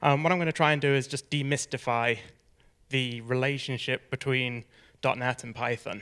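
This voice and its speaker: A man with an American accent talks in a bright, sharp tone, recorded very cleanly with a silent background. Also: medium pitch for a man, fairly even intonation, moderate pace. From US Midwest, Minnesota. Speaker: software developer. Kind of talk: conference lightning talk.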